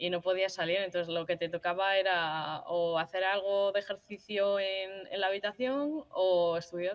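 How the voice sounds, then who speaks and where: At a moderate pace and with hardly any pauses, a woman with a medium pitch speaks with ordinary pitch variation. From Madrid, Spain. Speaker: university football player. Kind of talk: interview. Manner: halting.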